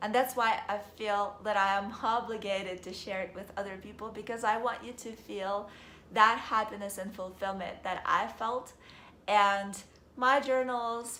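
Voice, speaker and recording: Amid audible room echo, a woman with a bright, sharp tone and fairly high pitch speaks with fairly even intonation and big swings in loudness. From Ukraine. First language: Russian. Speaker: vlogger. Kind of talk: casual monologue vlog.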